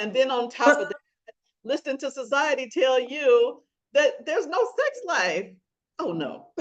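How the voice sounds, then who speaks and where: Speaking at a fairly slow pace, a woman with an American accent lets her pitch swing very widely. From US South. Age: 60s. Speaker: podcast host, wellness coach. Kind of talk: interview podcast.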